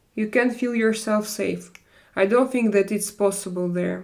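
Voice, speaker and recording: A woman speaks at a moderate pace with a European accent, her medium pitch held in a monotone, flat intonation. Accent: European-sounding non-native English. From Russia. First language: not English. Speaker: live streamer. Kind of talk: casual live chat reading viewer comments. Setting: live stream. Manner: halting, with many fillers.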